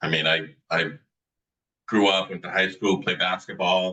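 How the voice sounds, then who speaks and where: A man with a Boston accent has a very deep, low pitch and a bright, sharp tone. He speaks at a fairly slow pace. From Medford, Massachusetts (Boston area). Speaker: author. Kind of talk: interview.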